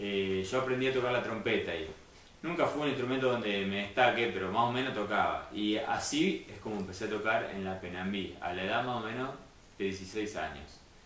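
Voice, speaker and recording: Amid light background noise and audible room echo, a man with a fairly low voice speaks at a moderate pace with ordinary pitch variation. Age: 30s. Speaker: musician and music teacher; music teacher. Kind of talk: interview. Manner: halting. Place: home room. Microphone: camera far.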